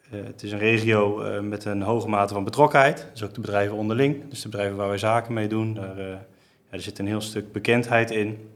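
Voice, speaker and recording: A man with a plain, everyday voice speaks at a fairly quick pace. His fairly low voice keeps a fairly even intonation. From Netherlands, Geldermalsen (Betuwe). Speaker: commercial manager at a car dealership group. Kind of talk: business podcast interview. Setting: studio, sitting at a table.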